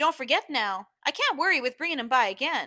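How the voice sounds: A woman uses a put-on character voice with a high pitch and a bright, sharp tone. Her pitch swings widely.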